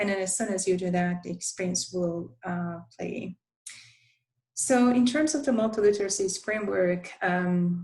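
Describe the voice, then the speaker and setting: Somewhat breathy woman's voice at medium pitch, with a moderate pace and ordinary pitch variation. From Turkey. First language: Turkish. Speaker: university instructional design academic. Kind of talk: conference presentation. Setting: virtual presentation, screen sharing. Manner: halting, many filler sounds.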